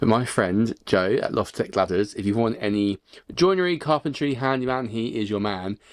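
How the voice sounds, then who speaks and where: In a southern English accent, a man speaks at medium pitch with an animated tone and lively intonation. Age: 20s. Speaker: sailing vlogger. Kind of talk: casual video diary. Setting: boatyard.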